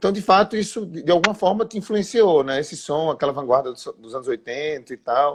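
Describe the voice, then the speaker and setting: A man with a strong Pernambuco accent, moderate pace, lively intonation and big swings in loudness, over a quiet background. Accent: thick Pernambuco. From Pernambuco, Brazil. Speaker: interviewer. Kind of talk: interview.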